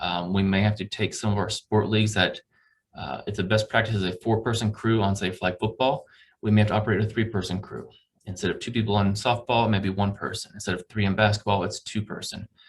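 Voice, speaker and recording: A man's fairly low, somewhat breathy voice at a very fast pace. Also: fairly even intonation. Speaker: campus recreation staff presenting budget. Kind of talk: budget presentation to committee.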